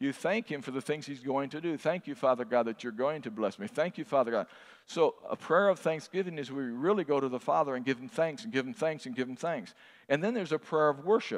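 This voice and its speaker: Against a quiet background, a man talks at a very fast pace with a fairly high pitch and lively intonation. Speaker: pastor. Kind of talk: sermon. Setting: church. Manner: animated; fervent.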